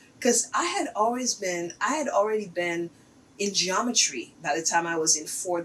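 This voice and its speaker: A woman at a fairly slow pace with lively intonation, over noticeable background noise. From Haiti. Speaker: artist. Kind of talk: interview.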